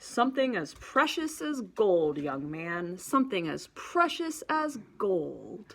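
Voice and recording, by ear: In a put-on character voice, a woman at medium pitch swings very widely in pitch, talking at a fairly slow pace with hardly any pauses over a very clean recording and silent background.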